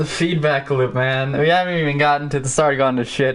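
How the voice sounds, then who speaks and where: In an ordinary speaking voice, a man talks at a fairly quick pace with fairly high pitch and ordinary pitch variation. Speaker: podcast host. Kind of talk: casual chat. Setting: live stream. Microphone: echo from feedback loop.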